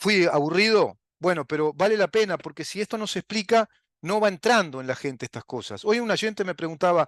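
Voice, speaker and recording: Spoken with a Uruguayan accent at a fairly quick pace, the voice has ordinary pitch variation and a dry, close sound with no echo. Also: man, quiet background. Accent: Rioplatense Spanish (Uruguayan). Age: 60s. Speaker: political commentary show host. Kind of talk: political monologue. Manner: animated.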